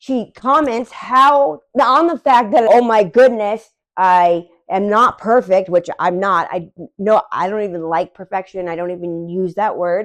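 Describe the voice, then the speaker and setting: Over a quiet background, a woman at medium pitch speaks in an animated way with lively intonation at a fairly slow pace. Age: 40s. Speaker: dog behavior vlogger. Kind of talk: casual vlog monologue. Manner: rambling, animated.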